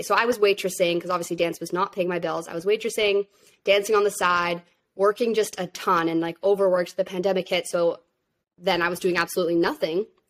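A woman talks at medium pitch and a fairly quick pace, with fairly even intonation and an unremarkable speaking voice. The recording is very clean, with a silent background. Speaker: social media manager and content creator. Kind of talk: interview.

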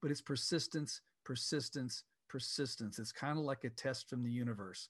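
In a normal speaking voice, a man talks at a moderate pace and medium pitch with fairly even intonation, the sound dry and close with no echo. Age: 60s. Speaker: software company founder. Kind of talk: interview.

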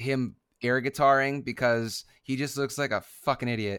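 A man speaks fairly slowly at medium pitch in a flat monotone. The recording is very clean, with a silent background. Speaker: podcast co-host. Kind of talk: casual chat. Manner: slurred, drunk-sounding speech.

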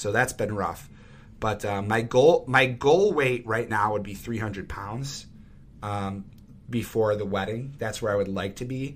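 Fairly slow speech from a man with an American accent, at a medium pitch with ordinary pitch variation. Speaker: podcast co-host, school teacher. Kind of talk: casual chat. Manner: smooth.

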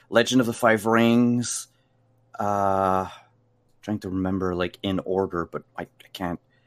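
In a dry, close sound with no echo, a fairly low-pitched man speaks at a fairly slow pace with fairly even intonation. He takes long, frequent pauses. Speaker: game master and streamer. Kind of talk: casual interview. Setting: live stream video call. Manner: hesitant, many fillers.

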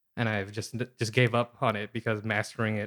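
A man's unremarkable speaking voice, medium in pitch, with an American accent, at a moderate pace, on a very clean recording with a silent background. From Seattle, Pacific Northwest US. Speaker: comedian and writer. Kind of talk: casual chat.

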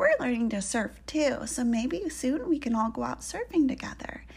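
A woman performs a put-on character voice at a high pitch with big pitch swings. There is vocal fry and a slightly mellow tone. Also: moderate pace.

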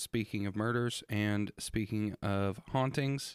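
The recording is very clean, with a silent background. A man speaks in a plain, everyday voice at medium pitch with fairly even intonation. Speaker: podcast co-host. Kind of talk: casual chat and show intro.

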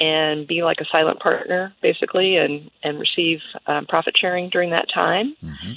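Fairly even intonation from a plain, everyday voice. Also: woman. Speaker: caller, business partner. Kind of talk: listener call-in question. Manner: polite.

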